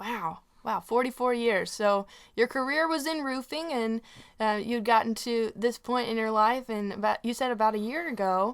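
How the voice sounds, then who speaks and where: Speaking with a Southern US accent, a woman has a fairly high pitch, ordinary pitch variation and a moderate pace on a very clean recording with a silent background. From Tennessee. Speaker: radio host and singer-songwriter. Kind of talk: radio interview.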